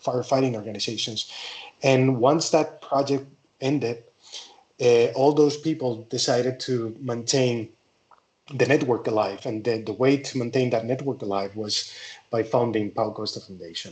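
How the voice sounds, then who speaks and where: Fairly even intonation from a man with a Spanish accent. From Spain. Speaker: forestry engineer, wildfire specialist. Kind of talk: conference presentation. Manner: halting.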